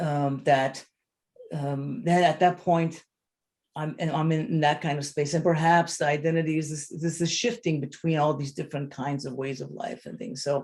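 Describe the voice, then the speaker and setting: Somewhat breathy, a man talks at a moderate pace with a fairly high pitch and fairly even intonation. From Lebanon (Armenian community of Beirut). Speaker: photographer/artist. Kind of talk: panel discussion. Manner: halting, many repetitions and fillers.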